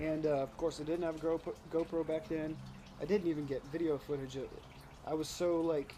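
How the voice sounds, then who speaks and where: A man talks at a fairly quick pace, his pitch fairly high. Background noise is noticeable. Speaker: urban bass angler. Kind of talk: casual talk to camera.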